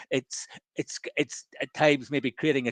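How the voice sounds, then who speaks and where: With a Northern Irish accent, a man speaks in a fairly even intonation. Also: dry, close sound with no echo, quiet background. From Northern Ireland. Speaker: professor and entrepreneur. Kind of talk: webinar interview. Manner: halting, many repetitions.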